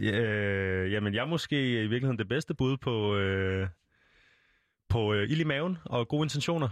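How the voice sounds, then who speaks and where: A man with a medium pitch and an ordinary speaking voice talks at a fairly slow pace, keeping very even loudness while his intonation stays lively. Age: 20s. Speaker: radio presenter. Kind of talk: radio interview. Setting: studio.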